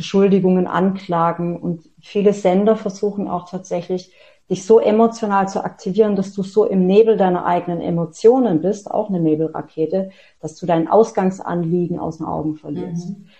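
A woman's dark, mellow voice comes through somewhat breathy, with fairly even intonation. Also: medium pitch for a woman, moderate pace. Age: 40s. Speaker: author and self-empowerment coach. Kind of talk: interview.

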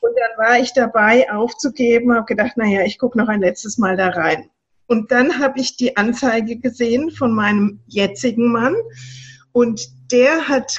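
A woman's high voice carries lively intonation. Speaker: social worker and coach. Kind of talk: interview. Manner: animated.

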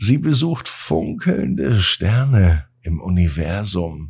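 A man's low-pitched, slightly mellow voice with a husky, rough edge and vocal fry, big pitch swings and a slow pace

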